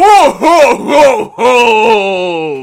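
A put-on character voice pitched fairly high. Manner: jolly.

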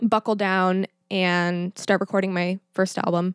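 A woman speaks with an American accent in an ordinary speaking voice, medium in pitch and at a fairly slow pace. The sound is dry and close with no echo, and the recording is very clean over a silent background. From Texas (Schertz, near San Antonio). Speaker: musician. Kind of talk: casual chat.

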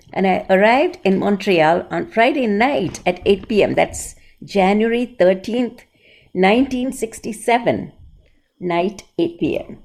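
A woman speaks very slowly, captured on a very clean recording with a silent background. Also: medium pitch for a woman. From India, Bombay. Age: 80s+. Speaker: dance teacher. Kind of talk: interview.

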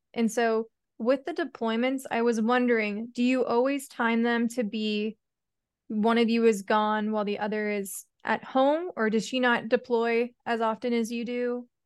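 A woman with an ordinary speaking voice and fairly high pitch talks at a moderate pace with fairly even intonation over a quiet background. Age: 20s. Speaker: podcast host. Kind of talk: casual interview.

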